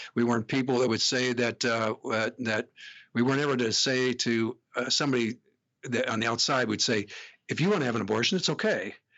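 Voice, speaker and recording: Here a man talks at a fairly quick pace. His intonation is fairly even and his loudness very even. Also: medium pitch for a man. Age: 60s. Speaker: pregnancy clinic executive and deacon. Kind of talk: podcast interview. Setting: studio. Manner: halting, many fillers.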